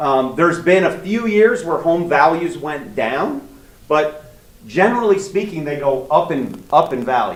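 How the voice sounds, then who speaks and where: A loud man at a high pitch and a fairly slow pace, lively intonation, with audible room echo. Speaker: mortgage loan officer. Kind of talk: seminar talk.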